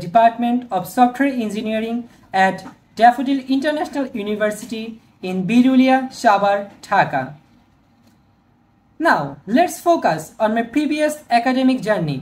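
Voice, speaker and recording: In a Bangladeshi accent, a woman speaks at a moderate pace with a fairly high pitch and lively intonation. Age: 20s. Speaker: software engineering student. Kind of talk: video resume talk to camera.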